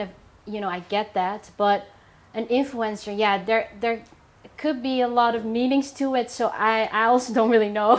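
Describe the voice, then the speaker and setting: Fairly even intonation and a moderate pace mark this woman's fairly high-pitched voice. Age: 20s. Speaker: content creator and stylist. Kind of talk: casual chat. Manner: hesitant, many fillers.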